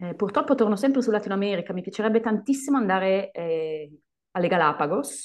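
Over a quiet background, a woman talks very fast at medium pitch with lively intonation. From Italy. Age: 30s. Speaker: English teacher. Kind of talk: casual chat.

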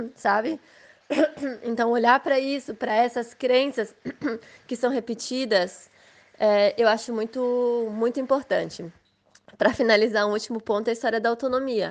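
A woman speaks at a moderate pace with long, frequent pauses against a quiet background. Her pitch is fairly high and her intonation fairly even. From Blumenau, Santa Catarina, southern Brazil. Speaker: mother and Waldorf education graduate. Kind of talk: casual interview chat.

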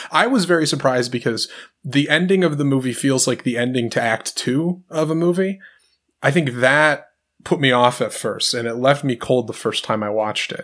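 Speaking in an American accent, a man uses an unremarkable speaking voice at medium pitch with ordinary pitch variation. He goes at a fairly quick pace on a very clean recording with a silent background. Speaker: podcast host. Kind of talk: casual chat about movies.

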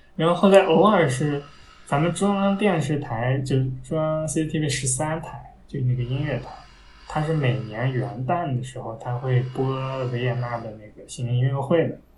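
A man speaks at a medium pitch and a moderate pace, with ordinary pitch variation. Music plays in the background, and the room echo is audible. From Taiyuan, Shanxi, northern China. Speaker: classical music enthusiast. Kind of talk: casual chat.

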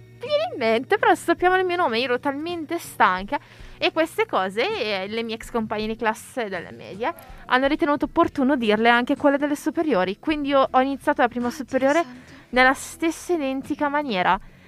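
A woman's high-pitched voice at a very fast pace, lively in intonation, dry and close with no echo, with music in the background. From Italy. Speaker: podcast co-host, university student. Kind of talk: casual chat.

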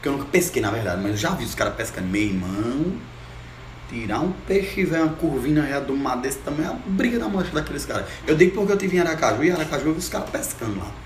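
Very fast speech comes from a man with a fairly high pitch and very wide pitch swings. Audible room echo and noticeable background noise surround him. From Juazeiro, Brazilian Northeast. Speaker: musician. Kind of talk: casual chat.

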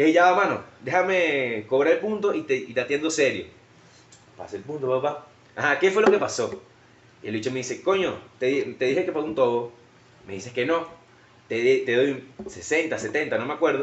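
With a Venezuelan accent, a man speaks at a moderate pace, taking long, frequent pauses. His fairly high pitch and lively intonation come through noticeable background noise. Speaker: podcast host. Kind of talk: casual chat.

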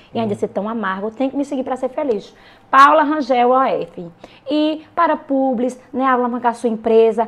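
Noticeable background noise sits behind the speaker. The delivery has a moderate pace and ordinary pitch variation. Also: woman, high pitch for a woman. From Pernambuco backlands, Brazil (Ouricuri). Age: 20s. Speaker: social media influencer. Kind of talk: casual chat.

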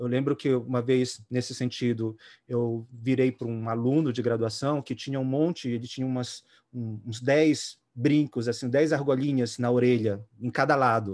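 On a very clean recording with a silent background, a man talks at a moderate pace and medium pitch with fairly even intonation. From Belém, Pará, then São Paulo from adolescence. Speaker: music therapist. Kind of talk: panel discussion. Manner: halting.

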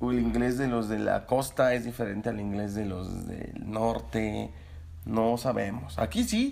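A man with a Mexican accent speaks at a fairly slow pace. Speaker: podcast co-host. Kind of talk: casual chat.

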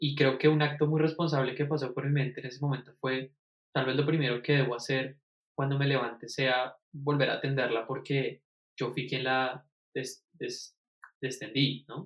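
A somewhat breathy man's voice at medium pitch, monotone and flat, at a moderate pace. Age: 20s. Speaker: music student. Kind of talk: casual conversation. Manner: halting, many repetitions.

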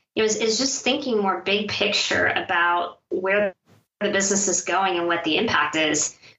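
A woman with an American accent speaks at a medium pitch and moderate pace. Her pitch variation is ordinary and her loudness very even. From California. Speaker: HR consultant. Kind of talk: interview. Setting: remote call.

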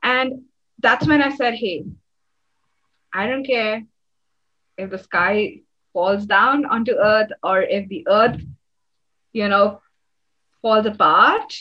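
In an Indian accent, a woman speaks at a very slow pace with long, frequent pauses. Her voice is fairly high-pitched, with a bright, sharp tone and ordinary pitch variation. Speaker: energy healing facilitator. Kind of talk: casual interview. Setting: call.

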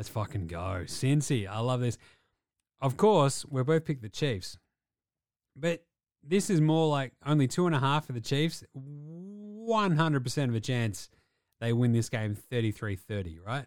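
A man with an Australian accent speaks at a fairly slow pace in an animated tone, his medium pitch swinging very widely. The recording is very clean, with a silent background. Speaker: sports podcast co-host. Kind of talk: casual chat. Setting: studio.

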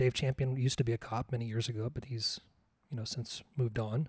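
Here a man speaks very fast at a medium pitch, somewhat breathy and dark, mellow in tone. The sound is dry and close with no echo. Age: 40s. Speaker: podcast host. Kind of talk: solo monologue. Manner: halting.

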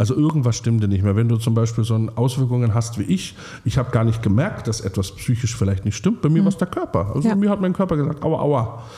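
Over noticeable background noise, a man speaks at a very fast pace in an animated tone, with lively intonation and very even loudness. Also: medium pitch for a man, hardly any pauses. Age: 30s. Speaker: singer-songwriter. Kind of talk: casual chat.

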